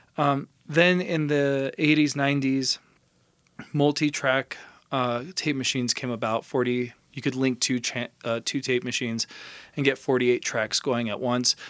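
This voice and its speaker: A Californian accent at a fairly slow pace with fairly even intonation, on a very clean recording with a silent background. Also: man, medium pitch for a man. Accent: Californian American. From Los Angeles. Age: 30s. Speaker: recording engineer. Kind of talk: casual interview chat.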